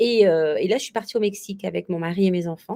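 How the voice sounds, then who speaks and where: This woman's voice has a dark, mellow tone at a medium pitch. Her pitch varies in an ordinary way. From Réunion. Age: 40s. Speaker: bridal shop owner, former teacher. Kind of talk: interview. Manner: hesitant, many fillers.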